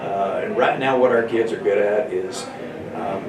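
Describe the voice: The speech moves at a moderate pace. Audible room echo surrounds it. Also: man.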